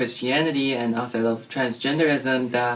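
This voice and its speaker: A man with a Chinese accent, ordinary pitch variation and a moderate pace, with noticeable background noise. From China. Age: 20s. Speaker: transgender guest sharing experience. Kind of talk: interview.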